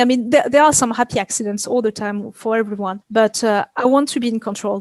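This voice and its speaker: The sound is dry and close with no echo as a woman speaks in a fairly high pitch. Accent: French. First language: French. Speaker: video game effects artist. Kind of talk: interview. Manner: halting.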